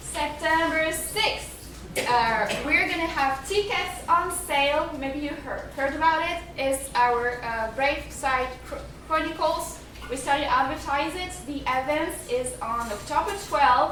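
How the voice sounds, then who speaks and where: In a French accent, a woman speaks high and fairly slowly with ordinary pitch variation, with audible room echo and noticeable background noise. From France. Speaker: museum curator. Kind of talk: event announcements to an audience.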